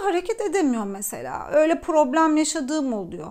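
A woman's voice with very wide pitch swings. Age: 30s. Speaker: personal development coach, YouTuber. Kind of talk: personal talk to camera. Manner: halting, many fillers.

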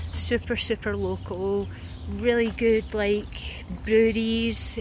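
A woman's voice against noticeable background noise. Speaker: travel vlogger. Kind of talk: casual vlog chat. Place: waterside. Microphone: phone near.

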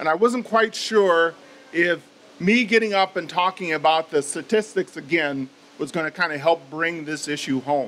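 Here a man talks in a high pitch. His pitch varies in an ordinary way. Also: moderate pace. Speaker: judge. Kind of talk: public speech. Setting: stage with audience. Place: meeting room. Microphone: podium.

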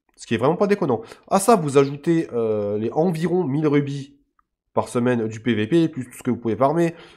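A man's fairly high-pitched voice swings very widely in pitch as he talks at a moderate pace. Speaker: gaming YouTuber. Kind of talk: casual gameplay commentary. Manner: halting, many hesitations.

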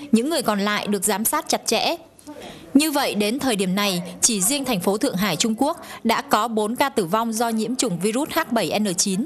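Lively intonation marks a woman's fairly high-pitched voice at a moderate pace. Background noise is noticeable. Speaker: foreign correspondent. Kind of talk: news report.

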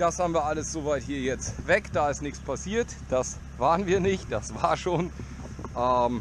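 Noticeable background noise behind a man, the sound dry with no echo. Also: fairly slow pace. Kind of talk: casual vlog commentary. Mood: joking, relaxed. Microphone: helmet.

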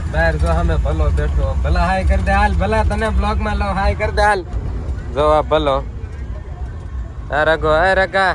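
Audible room echo and noticeable background noise surround a man whose loudness stays very even. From Gujarat, India (Saurashtra village). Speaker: vlogger. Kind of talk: casual travel vlog. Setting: travelling by bus and rickshaw, outdoors.

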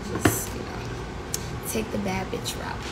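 Through loud background noise, a woman talks at a moderate pace. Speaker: livestream host. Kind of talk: casual vlog chat. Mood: relaxed, joking. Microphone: phone near.

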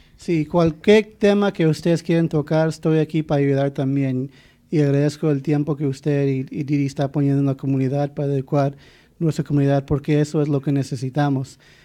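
Against a quiet background, a man speaks fairly quickly in a fairly high voice with a dark, mellow tone and fairly even intonation. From Arizona (born Douglas, raised Phoenix). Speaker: immigration attorney. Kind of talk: interview.

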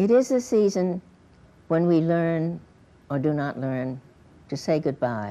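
A woman's fairly low, dark, mellow voice at a fairly slow pace, with very wide pitch swings and long, frequent pauses. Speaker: poet. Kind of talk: poetry reading. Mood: quiet, reflective. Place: studio. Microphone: lapel.

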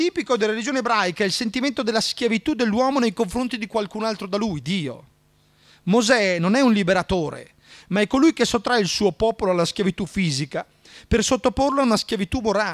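Very fast speech from a man, the background quiet. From Italy, Trento; Italy. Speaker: history lecturer. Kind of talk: lecture. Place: hall. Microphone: studio mic.

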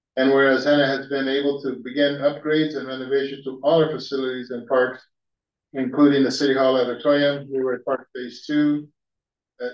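A man's fairly quick, monotone delivery with flat intonation and audible room echo. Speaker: council member reading a proclamation. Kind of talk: formal proclamation reading. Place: hall. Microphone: podium.

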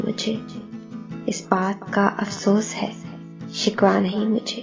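Music plays behind a woman talking at a medium pitch. She delivers everything in a flat monotone. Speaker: poetry reciter. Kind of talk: poetry reading.

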